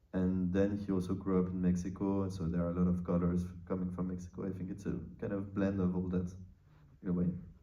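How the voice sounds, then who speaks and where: With a French accent and a dark, mellow tone, the speaker races along at a very fast pace in monotone, flat intonation amid audible room echo. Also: man, very deep, low pitch for a man. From France. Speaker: film co-writer and producer. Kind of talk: interview. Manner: halting, many fillers.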